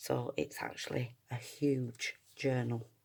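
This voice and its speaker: A soft-spoken woman talks in a flat monotone. The recording is very clean, with a silent background. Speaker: junk journal maker and seller. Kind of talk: product showcase tutorial. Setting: at home, early morning. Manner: quiet, soft-spoken; hesitant, many fillers.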